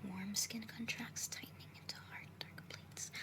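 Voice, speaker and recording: Whispering amid noticeable background noise. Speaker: ASMR creator. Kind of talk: poetry reading. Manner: whispered, soft-spoken.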